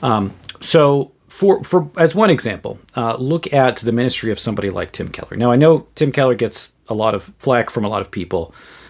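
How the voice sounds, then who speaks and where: Here a man with an American accent speaks at a medium pitch. His intonation is lively, and he takes hardly any pauses. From US Northeast, Western Massachusetts. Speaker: theologian and podcaster. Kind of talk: solo podcast commentary. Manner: halting, many repeated words and fillers.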